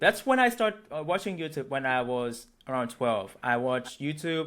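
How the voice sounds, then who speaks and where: In a very clean recording with a silent background, a man with a Thai accent speaks fairly slowly in a bright, sharp tone, using very wide pitch swings. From Thailand, Bangkok. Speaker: local interviewee. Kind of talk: casual interview chat. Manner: halting.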